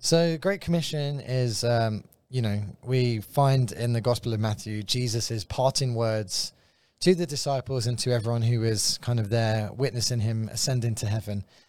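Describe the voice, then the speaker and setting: A man speaks at a moderate pace with medium pitch and ordinary pitch variation. The recording is very clean, with a silent background. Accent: London. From London, England. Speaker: guest, visiting ministry worker. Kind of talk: casual conversational teaching. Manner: light-hearted, jokey.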